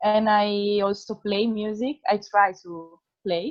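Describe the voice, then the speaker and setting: A woman speaks with an Italian accent. Her voice sits at a medium pitch. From northern Italy, near Piacenza. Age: 20s. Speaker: project participant. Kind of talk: self-introduction.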